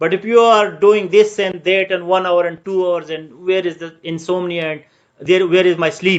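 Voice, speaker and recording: A man's high-pitched voice with a Pakistani accent, monotone and flat in intonation, at a moderate pace. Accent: Pakistani (Pashtun) English. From Pakistan, Pashtun. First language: Pashto. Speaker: civil service exam tutor. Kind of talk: online lecture. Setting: live Facebook virtual class. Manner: code-switching English and Urdu.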